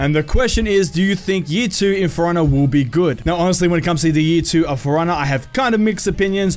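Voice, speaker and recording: Animated in tone, a man speaks at a very fast pace with hardly any pauses. His high pitch shows ordinary variation, and his loudness stays very even. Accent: Australian. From Australia, Melbourne. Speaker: gaming youtuber. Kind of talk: casual Q&A video.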